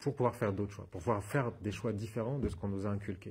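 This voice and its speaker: The voice is dark and mellow, and somewhat breathy. Its pitch varies in an ordinary way. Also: man. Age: 40s. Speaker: therapist and trainer giving a talk. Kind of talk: conference talk with audience questions. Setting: stage with audience at a wellness fair. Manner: fast; halting, many repetitions and fillers.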